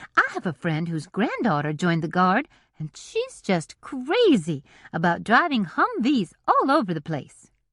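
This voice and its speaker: The voice sits at a middle pitch in a put-on character voice. It moves at a moderate pace. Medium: read story. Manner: warm, cooing.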